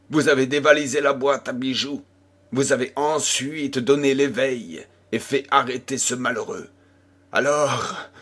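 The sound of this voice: Someone reads in an unforced voice, keeping the intonation fairly even.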